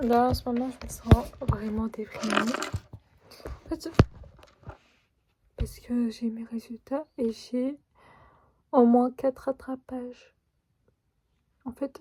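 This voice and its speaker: Speaking at a very slow pace with long, frequent pauses, a woman uses a high pitch and a dark, mellow tone, her intonation fairly even but her loudness swinging widely. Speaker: pharmacy student vlogger. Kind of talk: casual vlog talk. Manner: hesitant.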